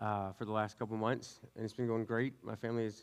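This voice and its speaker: With a Southern US accent, a man speaks at a medium pitch. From US South (West Louisiana). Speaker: youth pastor. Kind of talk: sermon. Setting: church with congregation. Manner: fast; casual, tangential.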